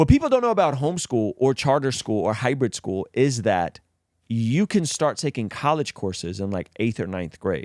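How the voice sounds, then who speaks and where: In a very clean recording with a silent background and a dry, close sound with no echo, a man speaks at a medium pitch and moderate pace with very wide pitch swings. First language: not English. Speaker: podcast host. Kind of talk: casual chat.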